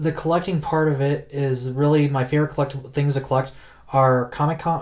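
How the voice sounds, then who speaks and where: A man speaks in an unremarkable speaking voice with an American accent. His intonation stays fairly even, and his pace is fairly quick. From US, Colorado (North Denver). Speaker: comic and collectibles collector. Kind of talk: casual interview chat.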